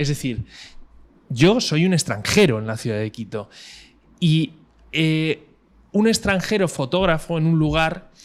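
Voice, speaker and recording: A man with a Madrid accent talks at a fairly slow pace in a fairly high voice, his pitch swinging very widely between long, frequent pauses. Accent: Castilian Spanish (Madrid). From Spain, Madrid. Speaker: cinematographer. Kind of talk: interview conversation. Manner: halting, many fillers.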